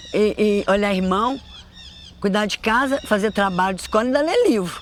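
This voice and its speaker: A woman speaks in an unremarkable speaking voice. Her pitch is fairly high, with ordinary variation. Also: moderate pace. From Brazil, Belo Horizonte (Minas Gerais). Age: 60s. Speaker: storyteller mother. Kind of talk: life story interview.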